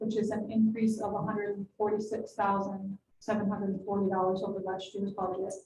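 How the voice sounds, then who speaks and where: Speaking at a fairly quick pace with an American accent, a woman has a dark, mellow tone, a somewhat breathy quality, and monotone, flat intonation. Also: medium pitch for a woman, hardly any pauses. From New York. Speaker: city finance official. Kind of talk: budget presentation at council meeting. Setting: city council meeting.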